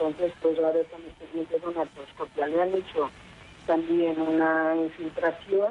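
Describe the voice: This woman speaks at a moderate pace in a low pitch, with little pitch movement.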